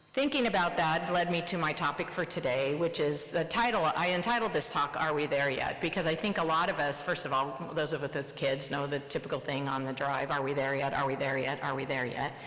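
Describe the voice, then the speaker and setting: Amid noticeable background noise and audible room echo, the speaker talks at a fairly quick pace in an American accent, with hardly any pauses, very even loudness and ordinary pitch variation. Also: woman, very deep, low pitch for a woman. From US Midwest, Nebraska. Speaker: surgeon. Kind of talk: presidential address. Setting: conference stage with audience.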